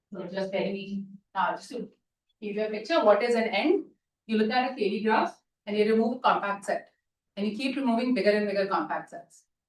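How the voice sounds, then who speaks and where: A woman speaks at a fairly quick pace with long, frequent pauses, her fairly high pitch showing ordinary variation and her loudness swinging widely. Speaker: mathematics lecturer. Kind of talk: lecture. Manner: fast.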